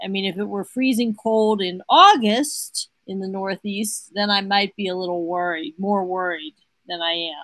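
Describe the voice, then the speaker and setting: This is a plain, everyday voice at a fairly slow pace. Pitch varies in an ordinary way, and the sound is dry and close with no echo. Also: woman. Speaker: guest co-host. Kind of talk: talk radio discussion. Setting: remote connection from Pittsburgh.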